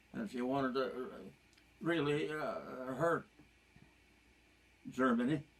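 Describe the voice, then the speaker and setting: A man speaks fairly slowly with a fairly high pitch, stopping often for long pauses. Noticeable noise runs in the background. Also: ordinary pitch variation. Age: 90s. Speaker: elderly father. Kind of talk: casual chat. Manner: halting.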